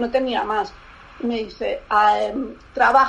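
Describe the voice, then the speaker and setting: A woman speaks in a high pitch. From Barcelona, Spain. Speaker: lingerie designer. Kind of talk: interview. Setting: remote call. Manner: halting.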